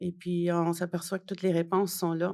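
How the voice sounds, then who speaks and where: At a fairly slow pace, a woman talks at medium pitch. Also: very clean recording, silent background. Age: 60s. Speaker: journalist and author. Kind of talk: interview. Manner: hesitant, many fillers.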